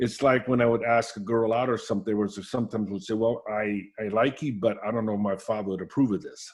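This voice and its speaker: Talking at a very fast pace with hardly any pauses, a man keeps a medium pitch and fairly even intonation. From Austria, raised in Alameda, California. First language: German. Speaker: coach. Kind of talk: interview. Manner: halting, many restarts.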